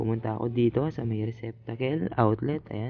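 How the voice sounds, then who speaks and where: Soft-spoken, a man talks at a fairly quick pace with fairly even intonation. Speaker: ship electrician vlogger. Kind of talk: tutorial. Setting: ship cabin onboard. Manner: soft-spoken, quiet.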